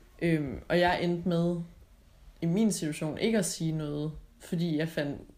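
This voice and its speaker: At a very slow pace, a woman talks in a fairly low pitch with a dark, mellow tone and fairly even intonation. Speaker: podcast co-host. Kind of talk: recorded travel greeting; casual chat.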